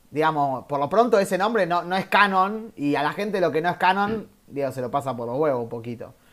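Intonation here is lively. The pace stays moderate. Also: man. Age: 30s. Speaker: podcast host. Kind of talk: casual chat.

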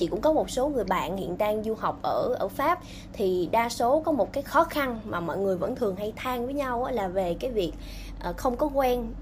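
A woman with an unremarkable speaking voice, fairly high pitch and lively intonation talks at a moderate pace. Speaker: podcast host on career guidance. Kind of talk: casual interview. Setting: remote call.

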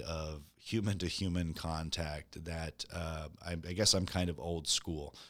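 A man with an American accent speaks in a very deep, low voice with a bright, sharp tone and fairly even intonation. The recording is very clean, with a silent background. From US Midwest. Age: 40s. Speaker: real estate broker and former Marine. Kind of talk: casual interview.

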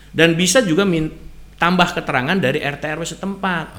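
Vocal fry runs through this man's speech as he moves at a fairly quick pace. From West Java, Sumedang. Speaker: legal consultant. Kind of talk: radio legal advice talk. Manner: hesitant, many fillers.

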